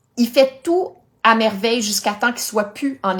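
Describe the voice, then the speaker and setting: With a Quebec accent, a woman talks at a moderate pace with ordinary pitch variation. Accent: Québécois French. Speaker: health coach, cancer survivor. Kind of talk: Facebook live talk. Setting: live stream.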